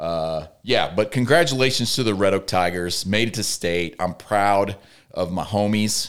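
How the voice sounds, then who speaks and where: A man speaks in a plain, everyday voice at a fairly slow pace. His pitch is fairly low, with ordinary variation. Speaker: podcast co-host. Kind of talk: casual chat.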